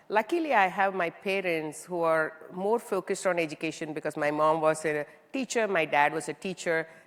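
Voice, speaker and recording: With an Indian accent, a woman speaks at a moderate pace in a very deep, low voice with ordinary pitch variation. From southern India, small town. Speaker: tech executive (CIO). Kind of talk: onstage interview.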